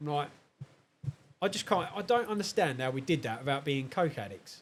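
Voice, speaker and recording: Using a southern English accent, a man talks at a fairly quick pace in a fairly high pitch with very wide pitch swings. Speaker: car enthusiast. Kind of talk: casual chat.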